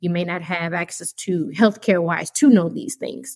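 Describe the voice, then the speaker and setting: Here is a plain, everyday voice at a moderate pace, with a dry, close sound and no echo. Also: woman. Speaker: seasoning business founder. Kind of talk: interview.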